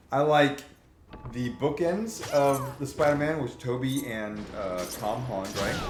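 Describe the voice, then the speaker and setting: The man's voice is fairly high-pitched. Audible room echo and noticeable background noise accompany his speech. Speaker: gaming streamer. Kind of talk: casual chat. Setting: live stream. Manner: halting.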